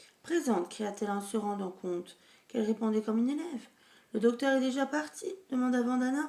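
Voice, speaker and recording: A woman's fairly high voice, dark and mellow in tone, with lively intonation at a moderate pace. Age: 40s. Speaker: amateur reader. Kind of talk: reading aloud. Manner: halting, with self-corrections.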